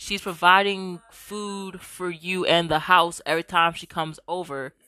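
With a bright, sharp, animated tone, a woman speaks at a fairly low pitch in a dry, close sound with no echo. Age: 20s. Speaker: podcast host. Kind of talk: casual solo commentary reacting to reddit posts. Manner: animated, frequent laughter.

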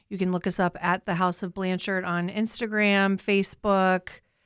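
A woman's medium-pitched voice, a normal speaking voice, with fairly even intonation on a very clean recording with a silent background.

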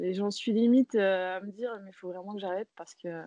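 In a normal speaking voice, a woman talks at a moderate pace and medium pitch with fairly even intonation, the sound dry and close with no echo. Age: 30s. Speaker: knitting designer. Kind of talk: interview.

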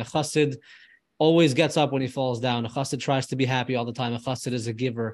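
This man has an ordinary speaking voice, fairly high in pitch with ordinary pitch variation. He talks at a fairly quick pace against a quiet background. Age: 20s. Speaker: filmmaker and travel content creator. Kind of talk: interview conversation.

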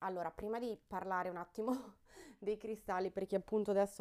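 A woman's dark, mellow tone on a very clean recording with a silent background. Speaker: podcast host on crystals and wellbeing. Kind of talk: casual solo podcast monologue. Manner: animated, energetic after coffee.

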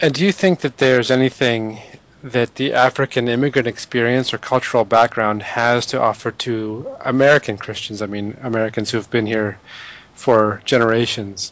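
An ordinary speaking voice, fairly even in intonation, at a moderate pace. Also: man. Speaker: podcast co-host. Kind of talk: casual interview conversation.

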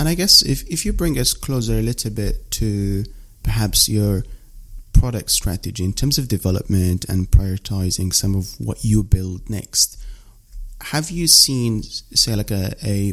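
A man's plain, everyday voice, fairly low in pitch, at a fairly slow pace with ordinary pitch variation. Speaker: podcast host. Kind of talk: casual interview chat. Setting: remote call.

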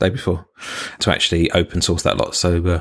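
Very deep and low in pitch, a man talks at a fairly quick pace with monotone, flat intonation, captured in a very clean recording with a silent background. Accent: British. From UK. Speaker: podcast co-host, IT professional. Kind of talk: casual chat.

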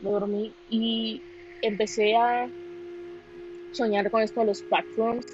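This is a woman speaking. Her pitch is medium. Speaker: amateur podcaster. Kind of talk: casual monologue. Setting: alone in a quiet room. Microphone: phone recording.

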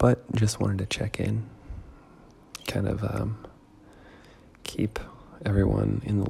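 Soft-spoken and somewhat breathy, a man with a very deep, low pitch talks at a fairly slow pace with long, frequent pauses. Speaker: podcast host. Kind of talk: casual monologue. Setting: at home in dining room.

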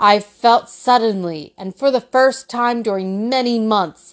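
A woman speaks at a fairly slow pace in a fairly high pitch, her intonation lively and her tone dramatic, against a quiet background. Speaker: podcast host reading a novel aloud. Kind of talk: literary audiobook reading. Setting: indoors home recording. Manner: measured, earnest narration with dramatic gravity; slightly halting, stumbles on hard words then self-corrects.

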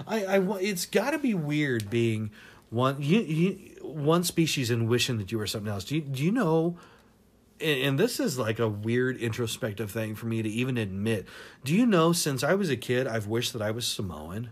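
A man with an American accent at medium pitch and a moderate pace, pitch swinging very widely, in a very clean recording with a silent background. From Washington state. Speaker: podcast host. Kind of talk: opinion monologue. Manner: animated.

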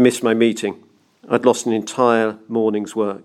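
This is plain reading aloud. The text is read through as written.

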